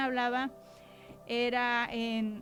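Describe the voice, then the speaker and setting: This is a woman's voice. Her pitch is high. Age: 30s. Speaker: church women's speaker. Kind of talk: testimony. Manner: blunt, sounds stern.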